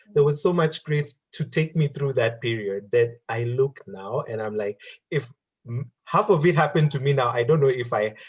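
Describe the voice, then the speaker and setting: This man speaks at a moderate pace with a medium pitch, a somewhat breathy quality and lively intonation. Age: 30s. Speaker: career speaker. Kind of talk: interview.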